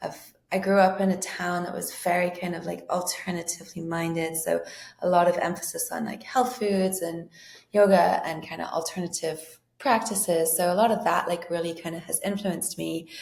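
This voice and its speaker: Audible room echo surrounds a woman speaking at a moderate pace with vocal fry. Her voice is fairly low in pitch, with fairly even intonation. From England. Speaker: coaching client. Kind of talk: podcast interview.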